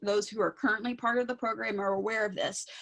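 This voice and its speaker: A woman talks at a very fast pace. Her fairly high voice shows ordinary pitch variation. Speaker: outreach coordinator for a talking book program. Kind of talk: presentation.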